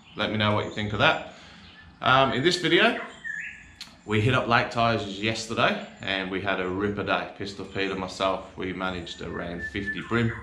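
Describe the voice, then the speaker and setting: A man's fairly low voice at a moderate pace, with ordinary pitch variation and noticeable background noise. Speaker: fishing channel host. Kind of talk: casual vlog chat. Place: garage.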